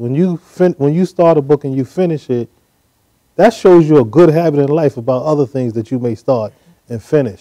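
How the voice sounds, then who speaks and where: In a fairly high pitch and a dark, mellow tone, a man with an American accent speaks with ordinary pitch variation against a quiet background. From New York, Brooklyn; New York. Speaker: business leader and PR consultant; guest. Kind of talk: interview. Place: studio. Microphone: lapel.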